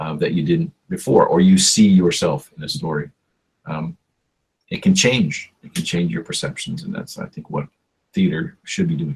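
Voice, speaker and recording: A man's medium-pitched voice with vocal fry, very wide pitch swings, big swings in loudness, and a moderate pace. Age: 60s. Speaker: theater performer and comedian. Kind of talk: interview.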